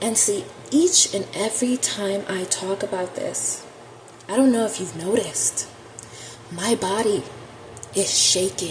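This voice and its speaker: A shaky woman with a medium pitch and ordinary pitch variation speaks at a fairly slow pace with long, frequent pauses over noticeable background noise. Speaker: tarot reader. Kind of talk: spiritual monologue to camera. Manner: shaky voice; impassioned.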